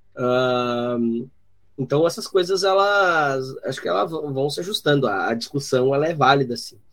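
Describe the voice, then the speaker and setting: Through noticeable background noise, a man speaks at a fairly slow pace. His fairly high-pitched voice has lively intonation. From southern Brazil (Rio Grande do Sul). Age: 30s. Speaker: journalist and podcaster. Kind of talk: casual chat. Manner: halting, many fillers.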